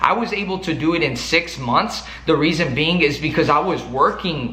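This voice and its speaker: The speaker talks fairly quickly in an animated tone with a strong Mexican accent. Noticeable background noise and audible room echo are present. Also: man. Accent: thick Mexican. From Mexico. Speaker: sales coach YouTuber. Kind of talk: motivational talk to camera.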